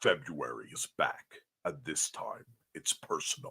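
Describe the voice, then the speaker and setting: A man speaks at a moderate pace in a put-on character voice pitched extremely high. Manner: dramatic.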